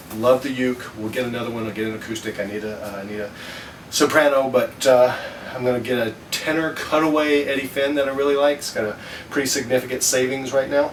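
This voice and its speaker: A man talking at a very fast pace, fairly even intonation, noticeable background noise. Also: medium pitch for a man. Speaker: ukulele hobbyist vlogger. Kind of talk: casual product review vlog. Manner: hesitant, many fillers.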